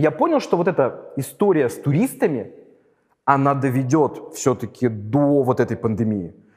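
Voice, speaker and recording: Using a normal speaking voice, a man speaks at a moderate pace with fairly high pitch, lively intonation and very even loudness. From St Petersburg, Russia. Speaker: lawyer and investor. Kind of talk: interview.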